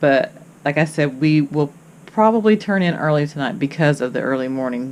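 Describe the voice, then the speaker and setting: Noticeable background noise fills the clip. Through it, a woman talks with a very deep, low pitch. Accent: Kentucky. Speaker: travel vlogger. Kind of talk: casual vlog chat. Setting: on a cruise ship balcony. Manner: halting, many fillers.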